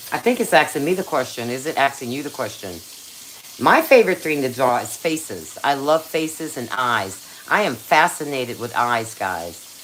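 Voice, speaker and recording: With noticeable background noise behind her, a woman speaks in a very deep, low pitch that makes very wide swings. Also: moderate pace. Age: 60s. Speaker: cooking and crafts YouTuber. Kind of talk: casual live-stream cooking chat. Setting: live stream on camera in a kitchen.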